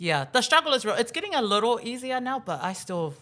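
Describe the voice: Fast and with big pitch swings, a woman talks at a fairly high pitch in a bright, sharp tone.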